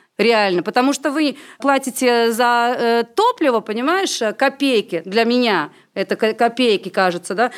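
A woman with a normal speaking voice talks at a fairly slow pace, her fairly high pitch moving with lively intonation. Her loudness stays very even in a very clean recording with a silent background. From Latvia. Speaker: film director and singer. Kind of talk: casual chat.

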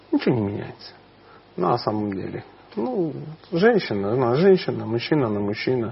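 At a fairly quick pace with long, frequent pauses, a man speaks at a medium pitch with very wide pitch swings over noticeable background noise. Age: 40s. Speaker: spiritual teacher. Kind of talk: interview.

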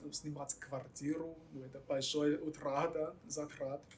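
Speaking with a Chinese accent, a man with a fairly high pitch sounds somewhat breathy and goes at a very slow pace. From mainland China. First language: Chinese (speaking Russian). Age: 20s. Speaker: guest from China, Russian-language graduate. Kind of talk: interview. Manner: halting.

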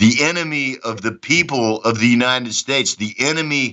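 With a Texan accent, a man talks using ordinary pitch variation. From Texas, Dallas. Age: 60s. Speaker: former soldier. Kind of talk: interview. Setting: remote call. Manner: high energy.

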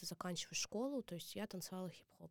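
Recorded dry and close with no echo, a woman uses a normal speaking voice at medium pitch with ordinary pitch variation. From Mordovia, Russia. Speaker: dance teacher and choreographer. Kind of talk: interview.

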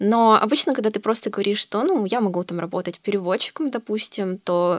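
A woman with an unremarkable speaking voice talks fairly quickly at a medium pitch with ordinary pitch variation, recorded dry and close with no echo. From Russia, Novosibirsk. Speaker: university student. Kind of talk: casual chat.

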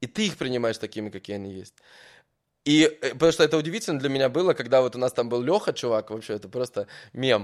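A man at a medium pitch and a very fast pace with lively intonation, in a very clean recording with a silent background. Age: 30s. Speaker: podcast host. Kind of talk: casual interview. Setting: hotel in Dubai.

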